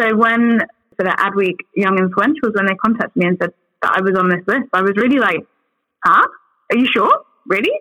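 A woman with a fairly high pitch and a bright, sharp tone talks at a fairly quick pace. She leaves long, frequent pauses, and the sound is dry and close with no echo. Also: ordinary pitch variation. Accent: English. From England, outside London. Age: young. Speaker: advertising agency voice lead. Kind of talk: interview. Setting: remote call with good microphone.

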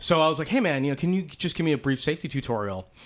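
A man talks with an American accent. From US East Coast. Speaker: motorcycle podcast host. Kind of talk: casual chat. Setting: home recording.

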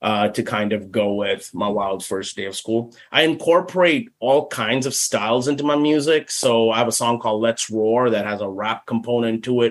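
This man has a plain, everyday voice, pitched in the medium range, moving at a moderate pace with ordinary pitch variation. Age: 40s. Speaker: speech pathologist and children's author. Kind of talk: casual interview.

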